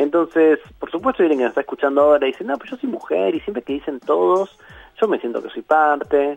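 A man at a very fast pace, with big swings in loudness, in a dry, close sound with no echo, and music in the background. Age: 40s. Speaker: philosopher and university lecturer. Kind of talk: radio interview.

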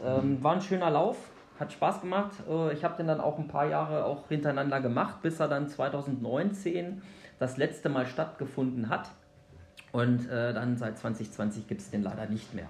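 Lively intonation carries the speech at a moderate pace. Audible room echo is present. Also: man, fairly high pitch for a man. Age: 40s. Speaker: obstacle race organiser. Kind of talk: podcast interview.

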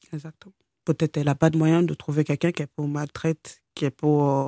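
A woman speaks at a moderate pace in a very deep, low pitch, her tone dark and mellow and her intonation flat and monotone. The sound is dry and close with no echo, in a very clean recording with a silent background. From Nigeria, Lagos suburbs, raised in France from age 12. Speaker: abuse survivor, care assistant. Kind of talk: interview testimony. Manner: halting.

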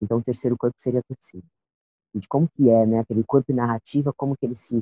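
This is a man speaking at a medium pitch. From São Paulo South Zone. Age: 20s. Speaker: poet and cultural producer. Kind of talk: casual interview.

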